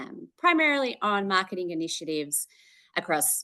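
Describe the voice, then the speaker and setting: With an Australian accent, this speaker talks at a moderate pace in a bright, sharp tone with lively intonation. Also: woman. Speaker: marketing executive. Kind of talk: interview. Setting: call. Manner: hesitant, many fillers.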